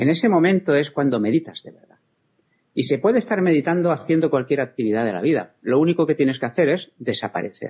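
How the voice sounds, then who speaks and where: A man talks at a very fast pace with a fairly high pitch. His loudness swings widely. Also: lively intonation. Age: 60s. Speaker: spiritual healer. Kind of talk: interview.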